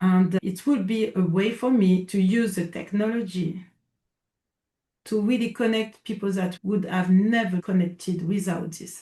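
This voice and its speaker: A fairly slow pace with a French accent. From France. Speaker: coach. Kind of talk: casual interview. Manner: halting.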